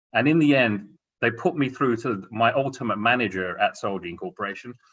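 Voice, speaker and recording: With an English accent, a man at a medium pitch talks at a moderate pace with very wide pitch swings. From England. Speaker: corporate executive panelist. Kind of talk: career advice talk on a panel.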